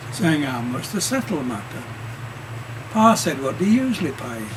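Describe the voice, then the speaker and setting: A man's pitch swings very widely. Noticeable background noise runs underneath. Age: 80s+. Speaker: amateur reciter. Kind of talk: poetry reading.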